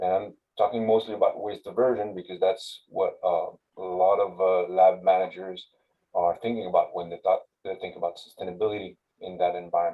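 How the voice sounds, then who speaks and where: Spoken at a fairly quick pace in a French accent, the delivery shows big swings in loudness. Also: man. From France. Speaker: university sustainability manager. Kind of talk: webinar presentation. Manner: halting, many fillers.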